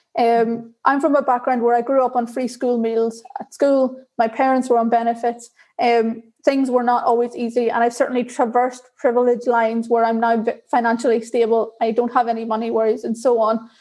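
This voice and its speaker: With an Irish accent, a woman speaks at a high pitch in a dark, mellow tone. Her intonation is monotone and flat, and her pace fairly quick. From Northern Ireland, Belfast. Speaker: diversity and inclusion leader in tech. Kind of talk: interview.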